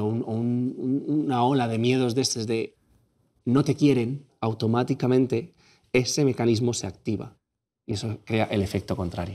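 A man's medium-pitched voice with a dark, mellow tone, at a moderate pace against a quiet background. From Spain, Catalonia (Tarragona, Móra d'Ebre); Catalonia, Spain. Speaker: content creator. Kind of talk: testimony. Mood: reflective, recounting painful memories. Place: studio. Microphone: lapel.

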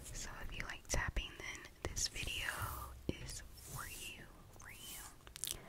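The woman whispers. Her pace is very slow. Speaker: ASMR creator. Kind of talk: soft whispered ASMR intro chat. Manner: soft close-mic ASMR voice. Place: home room. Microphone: studio mic.

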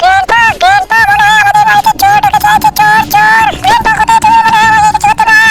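A put-on character voice at a fairly quick pace. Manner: boastful, comic.

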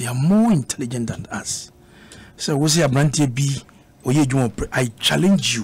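Ordinary pitch variation from a man speaking at a fairly quick pace. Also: medium pitch for a man.

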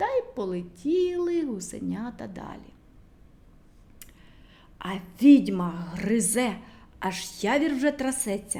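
With a dark, mellow tone, a woman speaks slowly at a fairly high pitch, her voice making big pitch swings.

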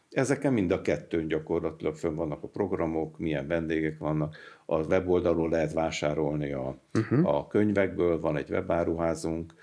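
A man's very deep, low voice with a dark, mellow tone, moderate pace, ordinary pitch variation and hardly any pauses, over a quiet background. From Hungary. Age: 70s. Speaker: retired mechanical engineer, anthroposophy society representative; interview guest. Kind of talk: interview. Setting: studio. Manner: halting, with fillers and repetitions. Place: studio. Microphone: studio mic.

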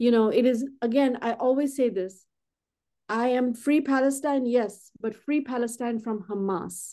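A woman with a high pitch and a dark, mellow tone speaks at a fairly slow pace with fairly even intonation. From India. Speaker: artist. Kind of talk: interview.

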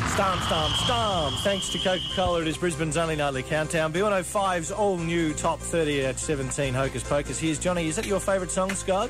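Clear music plays behind a man who talks fairly quickly with hardly any pauses, the sound dry with no echo. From Australia. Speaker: radio night-show host. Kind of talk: radio talk break. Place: studio. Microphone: old recording.

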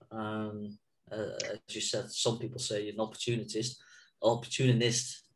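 A somewhat breathy man speaks at a fairly slow pace with monotone, flat intonation. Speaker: podcast host. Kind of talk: casual interview. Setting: video call. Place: home room. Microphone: lapel.

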